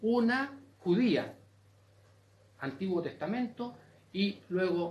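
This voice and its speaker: Speaking in a Chilean accent, a man with a high pitch and ordinary pitch variation is heard with audible room echo. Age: 70s. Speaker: audience member asking a question. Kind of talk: open forum comment. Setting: university auditorium panel with audience. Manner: animated.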